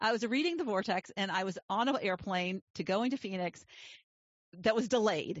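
In a normal speaking voice, the speaker goes at a moderate pace with lively intonation. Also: woman, medium pitch for a woman. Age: 60s. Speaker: life coach and podcast host. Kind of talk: interview podcast chat.

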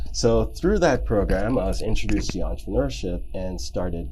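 Audible room echo surrounds a man's speech. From Jamaica, then raised in Texas and Germany. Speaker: logistics company founder and CEO. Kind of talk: interview.

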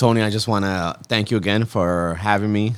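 In a very clean recording with a silent background, a man with a fairly low pitch speaks at a moderate pace with ordinary pitch variation. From Queens, New York. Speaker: podcast guest. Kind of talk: casual chat.

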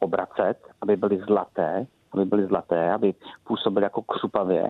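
A man with an ordinary speaking voice talks at a fairly quick pace, his pitch fairly low and his intonation fairly even. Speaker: head chef. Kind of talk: casual interview with recipe. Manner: casual, jovial.

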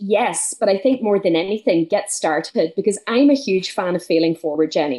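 With an Irish accent, a woman talks at a fairly quick pace. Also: quiet background. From northwest Ireland. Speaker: business mentor and speaker. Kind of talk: casual interview.

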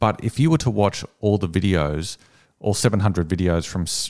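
A man with an Australian accent at a moderate pace, dry and close with no echo, in a very clean recording over a silent background. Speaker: copywriting agency owner, former journalist. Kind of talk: interview conversation.

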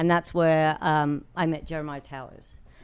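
Her pitch very deep and low, a woman talks at a moderate pace with monotone, flat intonation. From London, England. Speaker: chef. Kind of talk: casual interview chat.

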